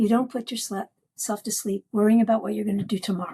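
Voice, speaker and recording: A somewhat breathy woman's voice, fairly high in pitch and dark and mellow in tone, at a fairly quick pace in a dry, close recording with no echo. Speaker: psychotherapist and dreamworker. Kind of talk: podcast interview. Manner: animated.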